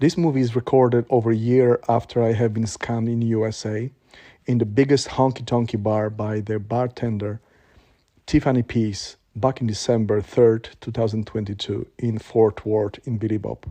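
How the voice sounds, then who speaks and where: A man with a Polish accent, a dark, mellow tone, fairly even intonation and a moderate pace. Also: medium pitch for a man, quiet background. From Poland. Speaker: vlogger. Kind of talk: personal testimony. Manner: halting.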